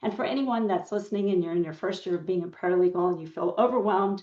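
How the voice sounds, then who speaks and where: Her medium-pitched voice is an unremarkable speaking voice, that of a woman. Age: 60s. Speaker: paralegal. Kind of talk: podcast interview.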